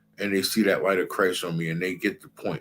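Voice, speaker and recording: The man speaks at a fairly quick pace, and his pitch shifts an ordinary amount. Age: 40s. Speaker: Hebrew Israelite priest. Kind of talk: religious class talk. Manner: animated.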